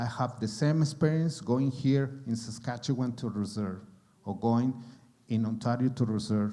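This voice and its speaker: In a strong Mexican accent, a man talks at a fairly slow pace with a medium pitch, lively intonation, a somewhat breathy quality and a dark, mellow tone. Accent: thick Mexican Spanish. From Mexico. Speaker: actor. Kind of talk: panel discussion. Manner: halting.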